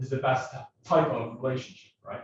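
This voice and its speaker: Somewhat breathy, a man talks with a medium pitch. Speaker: mortgage lender. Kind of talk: business presentation. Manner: fast.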